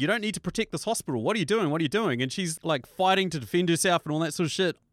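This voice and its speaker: In a dry, close sound with no echo and a very clean recording over a silent background, a man speaks in an animated tone with lively intonation. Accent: New Zealand. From New Zealand. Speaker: first-time published author. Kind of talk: casual chat. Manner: animated, excitable.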